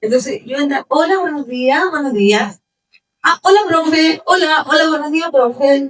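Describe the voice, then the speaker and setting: A woman talks at a fairly slow pace in a high voice. Her intonation is lively. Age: 60s. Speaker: mature student. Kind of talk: audience testimony at a talk. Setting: hotel event room with audience.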